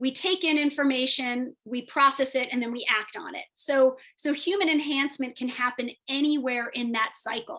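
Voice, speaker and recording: At a high pitch, a woman projects her voice in a raised way. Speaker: biomedical engineer and tech entrepreneur. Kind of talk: webinar presentation. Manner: fast; halting, many fillers.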